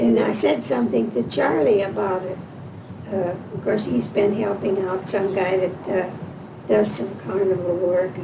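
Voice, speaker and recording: Over noticeable background noise and audible room echo, a woman with an American accent speaks at medium pitch and moderate pace with lively intonation. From Washington, Illinois (US Midwest). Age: 80s+. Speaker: oral history interviewee. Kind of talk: oral history interview, casual chat.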